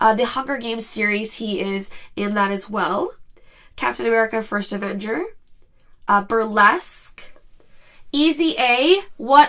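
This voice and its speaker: A woman speaks at a moderate pace, fairly high in pitch. Her tone is bright and sharp. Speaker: podcast host. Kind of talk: casual podcast talk.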